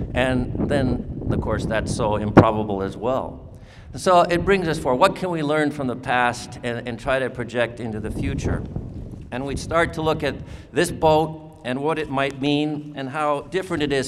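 Ordinary pitch variation at a moderate pace over noticeable background noise. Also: man, fairly high pitch for a man. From Southcentral Alaska. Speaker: borough mayor. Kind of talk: ceremonial speech. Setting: outdoor drydock before a crowd. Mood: warm, humorous. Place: hall.

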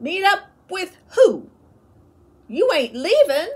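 A put-on character voice sits at an extremely high pitch, squeaky, with very wide pitch swings. It moves at a very slow pace. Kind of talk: read-aloud storytelling. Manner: voice catching, upset.

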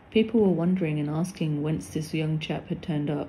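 Fairly low-pitched and somewhat breathy, a woman speaks at a fairly quick pace with a dark, mellow tone and fairly even intonation. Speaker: narrator of religious text. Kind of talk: scripted narration, reading aloud a devotional text. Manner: dramatic, reverent, storytelling delivery with wonder and emotion; formal.

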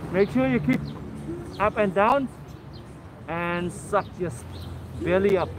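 A man speaks at a fairly slow pace with a high pitch. The sound is dry with no echo, and there is noticeable background noise. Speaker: fitness instructor. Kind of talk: workout instructions and counting. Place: street.

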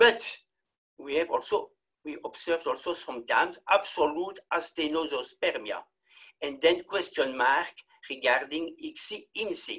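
Moderate pacing from a man, quiet background behind him. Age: 60s. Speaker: clinical embryologist. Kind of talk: lecture. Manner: halting. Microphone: webcam.

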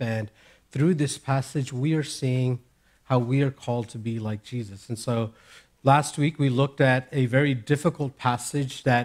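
Fairly even intonation shapes a man's moderate pace. Behind him, the background is quiet. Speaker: preacher. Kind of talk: sermon. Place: church. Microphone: headset.

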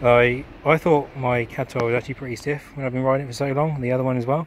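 A man with fairly even intonation and light background noise. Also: dry sound with no echo. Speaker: cyclist reviewer. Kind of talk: casual vlog chat. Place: street.

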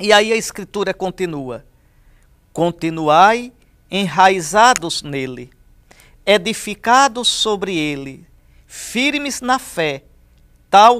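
Speaking very slowly with a Brazilian accent, a man with a high pitch and lively intonation has a tone both bright and sharp yet warm, over a quiet background. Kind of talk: sermon, scripture meditation. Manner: earnest, warm and pastoral; measured, didactic, emphatic on key phrases. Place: studio.

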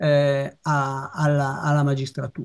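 Over a quiet background, a man talks in a somewhat breathy voice. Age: old. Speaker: retired family doctor; speaker. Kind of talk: talk presentation. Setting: video call. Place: home room. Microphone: video call.

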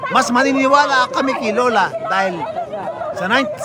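A man over loud background noise, in dry sound with no echo. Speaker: political commentary vlogger. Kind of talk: political commentary to camera. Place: street.

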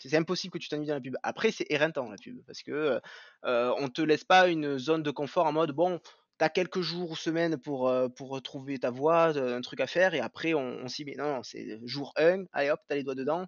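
In a quiet setting with dry, echo-free sound, a man with a fairly high pitch talks at a moderate pace, showing ordinary pitch variation and big swings in loudness. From southern France, Béziers; France. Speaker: 3D artist; podcast guest. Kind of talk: interview. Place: home room.

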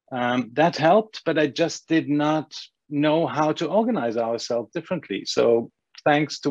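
With a German accent, a man speaks at a moderate pace and a fairly high pitch over a quiet background. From Germany. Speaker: agency owner; panelist. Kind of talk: panel discussion. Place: home room. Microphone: earbuds.

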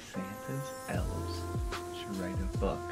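Loud music plays in the background as the speech moves at a fairly slow pace. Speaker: vlogger. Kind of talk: casual couples challenge vlog talk to camera. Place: home room. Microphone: camera far.

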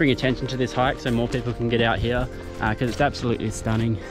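Clear music plays in the background while a man speaks in a dry sound with no echo. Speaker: hiking vlogger. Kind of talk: casual vlog chat. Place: forest. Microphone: phone near.

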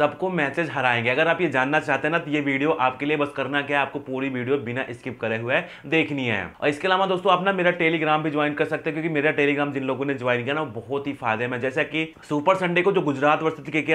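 A man speaks at a fairly quick pace. His intonation is fairly even. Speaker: cricket prediction host. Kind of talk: commentary. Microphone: lapel.

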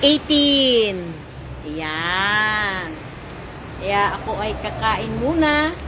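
Noticeable background noise sits under a woman who talks very slowly. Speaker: vlogger. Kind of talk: casual vlog chat. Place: garden. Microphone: phone near.

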